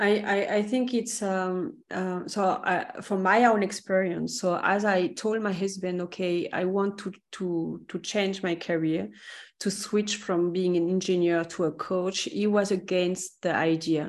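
A woman with a French accent speaks at a medium pitch with fairly even intonation. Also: fairly slow pace, quiet background. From France. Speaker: career coach. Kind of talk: casual chat. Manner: halting.

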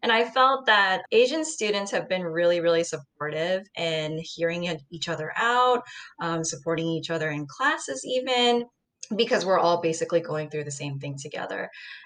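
With an American accent, a woman speaks at a moderate pace in an unremarkable speaking voice. Her fairly low pitch rises and falls with lively intonation. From US Midwest (Ohio), born in Seoul. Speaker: MBA student, former journalist. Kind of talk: casual chat.

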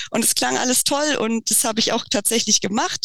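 Using an ordinary speaking voice, a woman talks at a fairly quick pace with a fairly high pitch and fairly even intonation. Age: 30s. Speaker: freelance copywriter and travel journalist. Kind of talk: interview. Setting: remote call.

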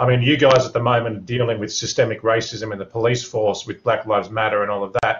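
A somewhat breathy voice with an Australian accent rushes along at a very fast pace, with fairly even intonation and hardly any pauses. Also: man, medium pitch for a man. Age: 40s. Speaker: mature-age student. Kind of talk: class discussion.

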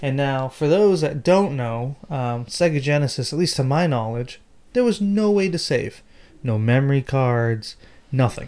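With an American accent, a man speaks at a moderate pace in a fairly high pitch, his tone dark and mellow and his intonation lively. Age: 30s. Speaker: podcast host. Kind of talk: casual chat.

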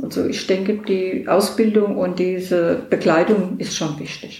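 This woman talks at a fairly slow pace with ordinary pitch variation, and audible room echo surrounds her voice. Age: 60s. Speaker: hospital volunteer visitor. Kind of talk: interview.

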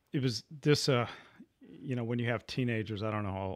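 A man with a plain, everyday voice talks fairly quickly with ordinary pitch variation in a very clean recording with a silent background. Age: 60s. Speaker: podcast host. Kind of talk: casual chat.

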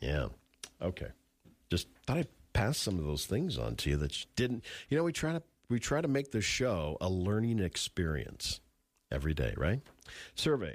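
A man with vocal fry and a fairly low pitch speaks at a moderate pace with long, frequent pauses, very wide pitch swings and very even loudness, on a very clean recording with a silent background. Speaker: radio host. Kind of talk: casual chat. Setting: studio.

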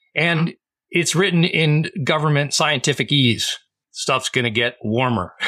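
A man with an unremarkable speaking voice and a fairly high pitch talks at a moderate pace, his loudness very even and his pitch varying in an ordinary way. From Massachusetts, Boston area. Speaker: cleantech entrepreneur. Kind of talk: casual chat.

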